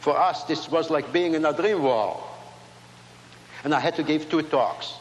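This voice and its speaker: Audible room echo surrounds a man with a fairly high pitch talking at a moderate pace. His loudness stays very even and his intonation fairly even. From Latvia. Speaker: inventor and speaker. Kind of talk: speech to a large audience. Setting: stage with audience.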